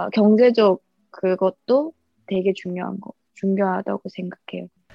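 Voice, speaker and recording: Music plays in the background as a woman speaks at a fairly slow pace. Her medium pitch shows ordinary variation. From North Korea. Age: 20s. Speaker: YouTuber and North Korean defector. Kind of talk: interview.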